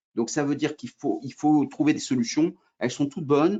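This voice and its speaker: The man's speech runs at a fairly quick pace. Pitch variation is ordinary. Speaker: trainer. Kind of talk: webinar presentation. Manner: fast; hesitant, many fillers.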